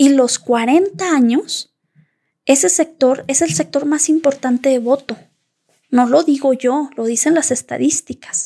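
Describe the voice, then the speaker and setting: Her tone is dark and mellow, and this woman speaks at a high pitch with ordinary pitch variation. The pace is fairly slow, and the sound is dry and close with no echo. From Zacatecas, Mexico (Ojocaliente). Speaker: lawyer and podcast co-host. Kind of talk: casual conversation.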